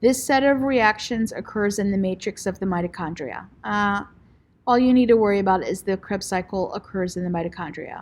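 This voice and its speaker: In a very clean recording with a silent background, a woman with a normal speaking voice talks at a fairly quick pace and medium pitch with ordinary pitch variation. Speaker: teacher. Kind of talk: lecture. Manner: casual.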